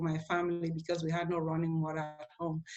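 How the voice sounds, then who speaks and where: A woman speaks at a moderate pace with an African accent. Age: 50s. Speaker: inspirational speaker and teacher. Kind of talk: motivational talk to students.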